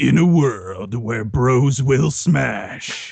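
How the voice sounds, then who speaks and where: A man speaks in a put-on character voice at a medium pitch. His tone is dramatic. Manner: dramatic, grand.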